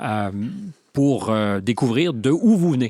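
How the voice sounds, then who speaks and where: In a plain, everyday voice, a man speaks at a medium pitch with lively intonation, the sound dry and close with no echo on a very clean recording with a silent background. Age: 60s. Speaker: interviewer. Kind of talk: interview.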